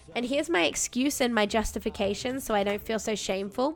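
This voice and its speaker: Animated and very fast, a woman speaks in an Australian accent. Her pitch is fairly high, with ordinary variation. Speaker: game streamer. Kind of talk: casual chat.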